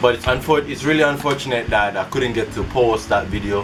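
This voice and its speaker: A man speaking at a fairly quick pace over music in the background. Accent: American. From Jamaica. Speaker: YouTuber. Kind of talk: casual vlog talk.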